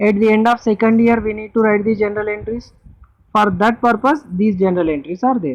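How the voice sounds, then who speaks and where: A woman with an Indian accent speaks at a fairly quick pace. Her pitch is fairly high, with ordinary variation. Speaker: accounting teacher. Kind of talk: lecture.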